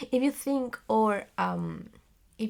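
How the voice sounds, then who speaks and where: This voice carries a non-native accent. Behind it is a silent background on a very clean recording. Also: woman. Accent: non-native English accent, self-described. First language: Spanish. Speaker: theater actress and vlogger. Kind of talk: casual vlog monologue. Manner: halting, many fillers and searching for words.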